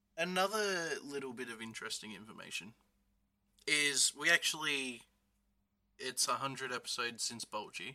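A man speaks at a moderate pace, broken by long, frequent pauses. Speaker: guest co-host. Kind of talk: casual chat.

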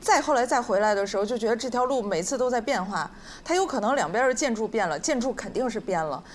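The woman's voice is fairly high, and she talks at a fairly quick clip. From Northeast China. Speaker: podcast guest. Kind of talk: live podcast chat. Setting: stage with audience.

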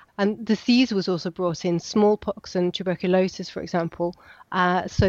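Against a quiet background, a woman with a medium pitch and fairly even intonation talks at a moderate pace, the sound dry and close with no echo. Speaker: archaeologist. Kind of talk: interview explanation. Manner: hesitant, filler-heavy, explanatory.

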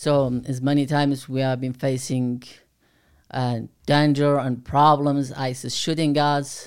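With a Kurdish accent, a man speaks fairly slowly in a flat, monotone way, recorded very cleanly against a silent background. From Kurdistan, Iraq. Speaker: Kurdish aid worker and former volunteer fighter. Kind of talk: casual interview chat. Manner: halting, non-native English.

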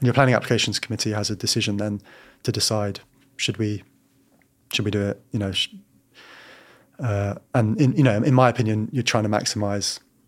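In a London accent, a man talks at a fairly quick pace and fairly low pitch, with fairly even intonation and long, frequent pauses. The recording is very clean, with a silent background. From London, Battersea. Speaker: local councillor for housing. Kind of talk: interview. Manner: halting.

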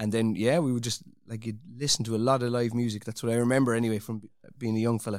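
A man's medium-pitched voice, monotone and flat, at a very fast pace. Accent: Irish. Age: 40s. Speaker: orchestral percussionist. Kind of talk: casual interview.

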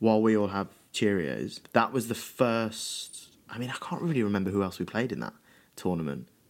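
In a very clean recording with a silent background, an unremarkable speaking voice moves at a moderate pace with lively intonation. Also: man, fairly low pitch for a man. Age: 20s. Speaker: stage actor, podcast co-host. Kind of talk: casual chat.

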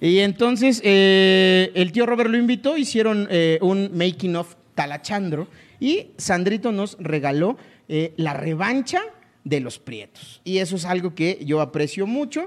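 A man speaks at a high pitch with lively intonation. His pace is fairly slow. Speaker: comedy podcast host. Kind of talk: comedic casual chat.

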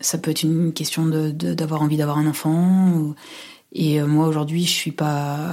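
A woman's very deep, low voice at a moderate pace, monotone and flat, very even in loudness, against noticeable background noise. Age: 30s. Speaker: university administrator. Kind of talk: personal testimony. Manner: halting, many fillers.

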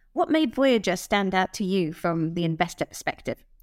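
A woman's medium-pitched, ordinary speaking voice at a fairly quick pace, dry and close with no echo. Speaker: podcast host. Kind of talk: podcast interview.

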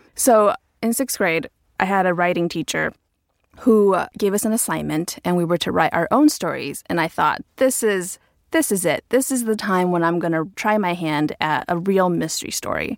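An unremarkable speaking voice moves at a moderate pace with lively intonation. The sound is dry and close with no echo, a very clean recording with a silent background. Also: woman, medium pitch for a woman. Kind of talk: casual chat, personal story.

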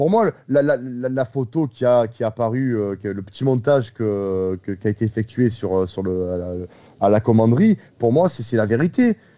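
Speaking fairly slowly in a Marseille accent, a man with a medium pitch and ordinary pitch variation has a dark, mellow tone and a dry, close sound with no echo. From Marseille, southern France. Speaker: football podcast host. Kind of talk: casual chat.

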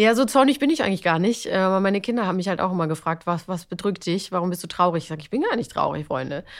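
A woman at medium pitch rattles along at a very fast pace with hardly any pauses and lively intonation. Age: 40s. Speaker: TV and radio presenter. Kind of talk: casual chat.

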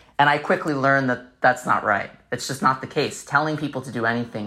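A man with an American accent, very fast, with a bright, sharp tone and fairly even intonation. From New York City (Staten Island). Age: 30s. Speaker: documentary filmmaker and nonprofit founder. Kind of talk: interview conversation.

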